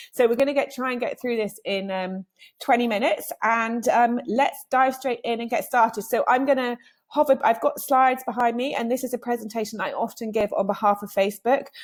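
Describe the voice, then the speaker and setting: A woman with a British accent speaks at a high pitch and a fairly quick pace, her tone energetic and her pitch variation ordinary. The recording is very clean, with a silent background. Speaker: digital marketing trainer. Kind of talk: presentation. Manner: fast.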